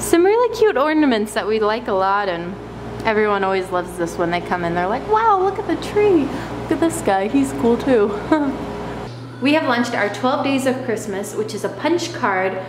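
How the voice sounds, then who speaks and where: A woman talks at a moderate speed while noticeable noise fills the background. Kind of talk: casual vlog chat. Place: shop. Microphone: phone near.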